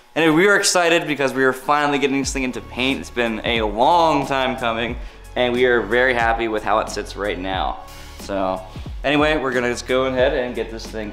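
With faint music in the background, a man speaks at a fairly quick pace with ordinary pitch variation. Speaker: car builder vlogger. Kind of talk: casual vlog chat. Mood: upbeat, joking. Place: workshop. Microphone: phone near.

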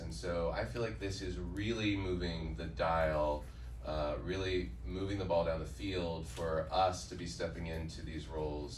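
A man speaks with a very deep, low voice. Light background noise and audible room echo are present. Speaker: actor at screening Q&A. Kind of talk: onstage remarks to audience. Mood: earnest, reflective. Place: hall. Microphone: pa.

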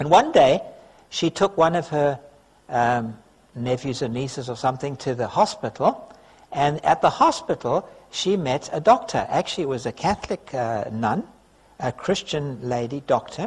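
Speaking at a moderate pace, a man has a somewhat breathy voice. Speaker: preacher. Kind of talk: sermon. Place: church. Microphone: podium.

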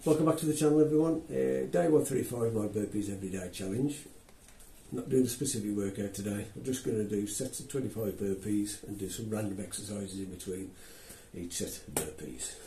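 Audible room echo surrounds a man who talks at a fairly quick pace with big swings in loudness. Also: fairly low pitch for a man. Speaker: fitness vlogger. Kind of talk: casual vlog chat. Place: gym.

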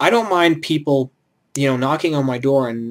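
Against a quiet background, a man speaks fairly quickly. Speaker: student vlogger. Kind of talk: casual vlog chat. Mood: reflective mild rant. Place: home room. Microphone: webcam.

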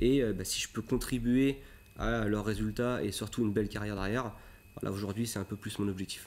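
A man speaks at a fairly quick pace, his fairly low voice holding a fairly even intonation. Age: 30s. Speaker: motocross coach. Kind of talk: TV interview. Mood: calm, reflective. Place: studio.

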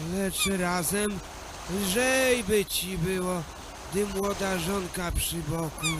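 A put-on character voice at middle pitch sounds weary and shaky. It moves at a very slow pace over loud background noise. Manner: worried, weary.

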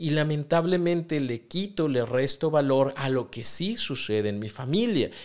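Here a man speaks at a fairly slow pace. His pitch is fairly high. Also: lively intonation, quiet background. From Mexico. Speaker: psychotherapist podcast host. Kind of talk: solo podcast monologue on self-help. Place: studio. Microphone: studio mic.

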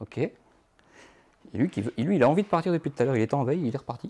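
Very fast man's voice in a north-eastern French accent, fairly high in pitch, dark and mellow yet somewhat breathy, with lively intonation and a dry, close sound with no echo. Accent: Moselle (north-eastern French). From Moselle, north-eastern France. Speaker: photographer. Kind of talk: live workshop tutorial. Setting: photo studio. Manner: hesitant, many fillers.

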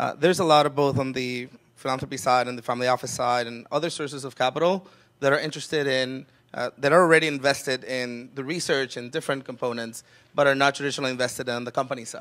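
A man speaks at a very fast pace. His pitch variation is ordinary. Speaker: panelist. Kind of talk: panel discussion answer. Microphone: handheld.

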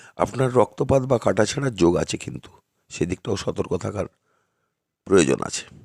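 A man's fairly low voice with very wide pitch swings, vocal fry, big swings in loudness, and a dry, close sound with no echo. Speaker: astrologer. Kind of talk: monthly horoscope talk to camera. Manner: halting, short phrases.

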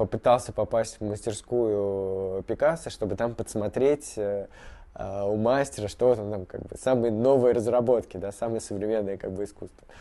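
A man speaks with a dark, mellow tone. His intonation stays fairly even. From Moscow, Russia; Russia. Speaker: artist. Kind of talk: interview. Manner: halting, many fillers. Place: workshop.

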